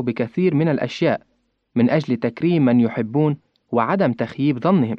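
A man uses a normal speaking voice, fairly high in pitch with ordinary pitch variation, at a moderate pace. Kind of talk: scripted religious reflection.

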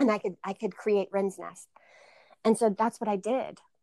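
With an American accent, a woman talks at a fairly quick pace in an unremarkable speaking voice. Her pitch is fairly high and her intonation fairly even. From North Carolina, Greensboro. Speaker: yoga studio owner. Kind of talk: casual interview.

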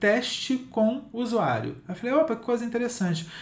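A man speaks at a moderate pace. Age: 50s. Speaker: digital content writing specialist and author. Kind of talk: interview.

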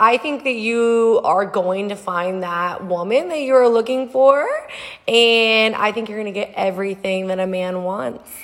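Fairly slow and fairly high in pitch, a woman with an American accent and an ordinary speaking voice talks with ordinary pitch variation. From Texas, Houston. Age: 30s. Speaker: podcast guest host, nurse administrator. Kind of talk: casual chat.

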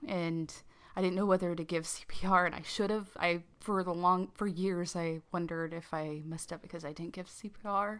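Using a plain, everyday voice, a woman speaks at a moderate pace and fairly low pitch, her intonation fairly even but her loudness swinging widely. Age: 30s. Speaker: podcast co-host. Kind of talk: casual chat.

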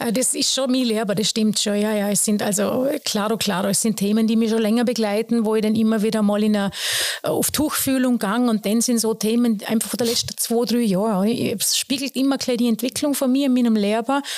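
Over noticeable background noise, a woman with a Vorarlberg accent speaks at a fairly high pitch with fairly even intonation and very even loudness. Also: fairly quick pace. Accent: Vorarlberg Alemannic dialect. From Austria, Vorarlberg (Lustenau). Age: 40s. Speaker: soul singer and vocal teacher. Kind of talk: casual interview. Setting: piano room at jazz school.

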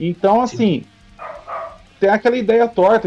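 A man speaks with music in the background. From São Paulo, Brazil. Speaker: metal band vocalist. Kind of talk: casual chat.

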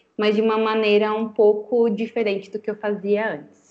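A woman's fairly high voice at a fairly slow pace, a plain, everyday voice. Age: 20s. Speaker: communications and branding consultant. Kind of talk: interview podcast chat.

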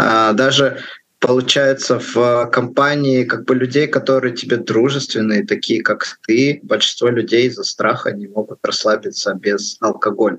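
At a fairly slow pace, a man with an ordinary speaking voice talks in medium pitch with fairly even intonation. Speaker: podcast co-host. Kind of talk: podcast interview.

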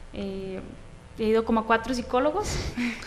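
A woman talks at a fairly quick pace. Audible room echo and noticeable background noise surround her. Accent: Costa Rican. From Costa Rica, Atenas. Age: 20s. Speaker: professional footballer. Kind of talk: interview.

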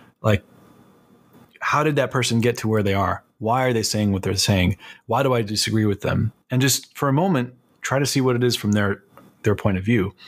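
A man with a plain, everyday voice speaks at a fairly quick pace with an American accent. His pitch is medium with ordinary variation, and the recording is very clean with a silent background. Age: 30s. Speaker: concept artist and art instructor. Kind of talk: casual interview.

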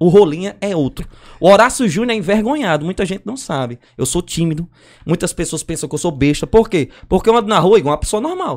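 A man with a high pitch talks at a fairly quick pace, his intonation lively and his tone animated. The recording is very clean, with a silent background. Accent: northeastern Brazilian. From Brazil, Northeast. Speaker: circus clown and comedian. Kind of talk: casual chat.

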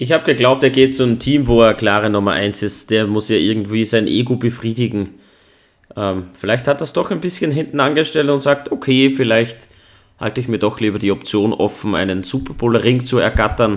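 A man's plain, everyday voice, medium in pitch, with ordinary pitch variation at a fairly quick pace. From Austria. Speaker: podcast host. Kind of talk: casual chat.

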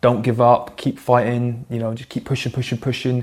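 A man speaks in a West Country accent at a medium pitch, with monotone, flat intonation. The recording is very clean, with a silent background. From England, Plymouth. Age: 30s. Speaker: military veteran and athlete. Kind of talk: interview conversation.

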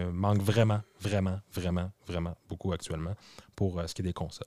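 Speaking fairly quickly in a Quebec accent, a man with a dark, mellow tone is heard dry and close with no echo, in a very clean recording with a silent background. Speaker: tech podcast co-host. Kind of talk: casual chat.

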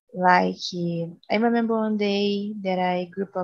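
A woman speaks with a Portuguese accent. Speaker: biology student. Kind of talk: casual chat.

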